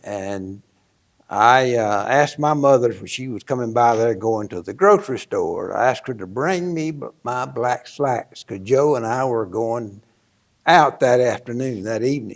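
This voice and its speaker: A man talks at a moderate pace with a medium pitch. His intonation is lively, and his loudness swings widely. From US South, upstate South Carolina. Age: 80s+. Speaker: retired musician, former drummer. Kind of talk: casual interview reminiscence.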